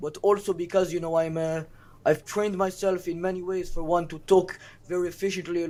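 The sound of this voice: A man with an Israeli accent speaks fast-ish at a high pitch, with a dark, mellow tone and monotone, flat intonation.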